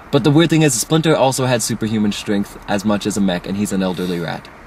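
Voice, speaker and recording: Over noticeable background noise, a man talks at a fairly quick pace with very wide pitch swings. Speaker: online video reviewer. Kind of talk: casual chat. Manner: fast; animated.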